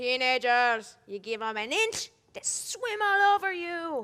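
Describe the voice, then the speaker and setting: This woman puts on a character voice, pitched high, with very wide pitch swings and a fairly slow pace. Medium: stage play. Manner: pompous, fussy.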